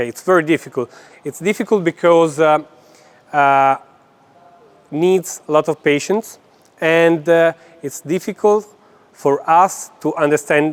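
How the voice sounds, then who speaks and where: A man with a non-native accent speaks at a fairly slow pace, with ordinary pitch variation and long, frequent pauses. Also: fairly high pitch for a man. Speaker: gymnastics coach. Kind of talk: lecture. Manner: halting, many fillers.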